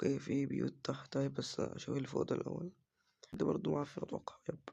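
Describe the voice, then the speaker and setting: A man in an Egyptian accent talks at a fairly quick pace with very even loudness. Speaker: gaming YouTuber. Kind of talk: let's play commentary.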